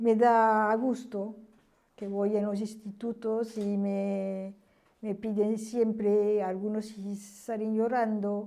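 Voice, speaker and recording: The voice has a dark, mellow tone and a flat, monotone delivery. The pace is very slow. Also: woman, fairly high pitch for a woman. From France. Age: 70s. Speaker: witness of history. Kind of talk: testimony. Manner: halting.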